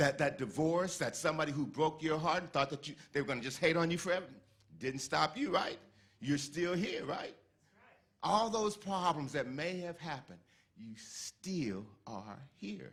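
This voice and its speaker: Lively intonation and vocal fry mark this man's fairly high voice at a moderate pace. The recording is very clean, with a silent background. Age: 60s. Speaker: lay speaker at a church service. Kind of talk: inspirational talk.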